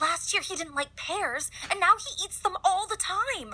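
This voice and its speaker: This female-sounding cartoonish character voice is extremely high-pitched, with very wide pitch swings at a moderate pace. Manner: excitable.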